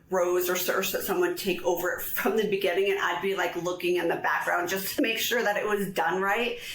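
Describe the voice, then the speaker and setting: A woman at a moderate pace with fairly even intonation, audible room echo and noticeable background noise. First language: American Sign Language. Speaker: real estate agent. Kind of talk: interview.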